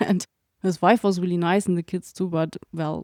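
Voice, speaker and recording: In a very clean recording with a silent background and a dry, close sound with no echo, a woman with a German accent speaks at a moderate pace in a fairly low, dark, mellow voice with monotone, flat intonation. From Germany. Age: young. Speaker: veterinarian and farrier researcher. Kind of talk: interview conversation. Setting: living room.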